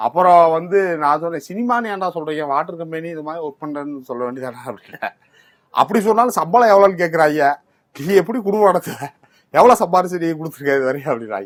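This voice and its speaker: Loudness swings widely as a man talks in a high pitch with lively intonation. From Tamil Nadu, Nilakottai near Batlagundu (Dindigul area). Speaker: film actor. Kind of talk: interview.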